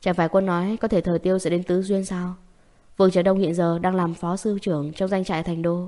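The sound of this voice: Text is being read out. The voice is an unforced reading voice.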